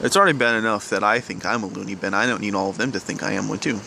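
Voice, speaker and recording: In an American accent, a quiet man speaks very fast at a fairly low pitch. Noticeable background noise runs behind him. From US South. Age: young. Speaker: vlogger. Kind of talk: personal confession vlog. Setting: outdoors at night. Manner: halting.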